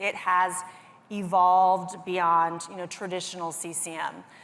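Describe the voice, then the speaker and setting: A woman at medium pitch and moderate pace, with audible room echo. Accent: American. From US South, Greenville, South Carolina. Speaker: industry analyst. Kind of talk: conference presentation.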